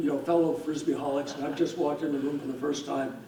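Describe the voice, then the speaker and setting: A man speaks fairly quickly in a room with audible echo, and background noise is clearly present. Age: 70s. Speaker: hall of fame inductee, veteran disc thrower. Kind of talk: acceptance speech.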